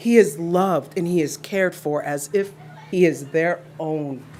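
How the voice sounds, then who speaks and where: A woman talks with a fairly low pitch and ordinary pitch variation. There is noticeable background noise. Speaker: parent speaking at public comment. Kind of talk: public comment speech. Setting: school board meeting. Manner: emotional.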